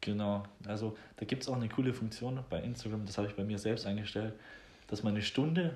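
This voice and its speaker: A man speaks at a fairly quick pace in a fairly low, somewhat breathy voice. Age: 20s. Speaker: podcast host. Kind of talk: casual chat.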